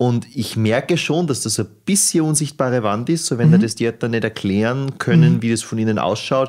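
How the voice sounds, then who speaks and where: A man with a normal speaking voice talks at a fairly quick pace and medium pitch. His intonation is lively, with hardly any pauses. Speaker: podcast host. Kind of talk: podcast interview.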